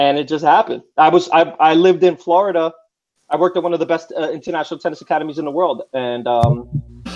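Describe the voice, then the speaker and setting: A man speaks very fast in an American accent, his pitch fairly high with ordinary variation. Music plays in the background. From New York. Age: 30s. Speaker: former tennis player. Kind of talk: casual chat.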